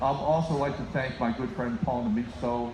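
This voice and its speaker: A man's words come with noticeable noise in the background and room echo you can hear. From United States (born in Finland, moved as small child). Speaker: band leader. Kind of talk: concert stage announcement. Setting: live concert with audience.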